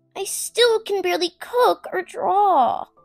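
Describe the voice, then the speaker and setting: A put-on character voice speaks at a fairly slow pace over faint music in the background. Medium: dub. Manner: worried, earnest.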